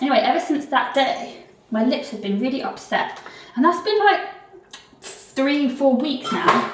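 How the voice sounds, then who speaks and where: A woman with a British accent speaks in a high pitch with lively intonation. Noticeable background noise and audible room echo surround her. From UK. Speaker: vlogger and actor. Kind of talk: casual vlog chat.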